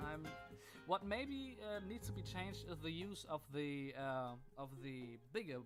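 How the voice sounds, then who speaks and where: German-accented man with a fairly high pitch and lively intonation. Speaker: gaming YouTuber. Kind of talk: gameplay commentary. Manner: hesitant, many fillers.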